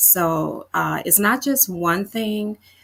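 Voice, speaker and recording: A woman speaking at a fairly slow pace, on a very clean recording with a silent background. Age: 60s. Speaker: fitness coach. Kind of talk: casual chat. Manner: halting, many fillers.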